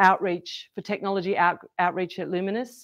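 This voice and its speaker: A woman with an Australian accent and a medium pitch, over a quiet background. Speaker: event host. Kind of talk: event introduction to live audience.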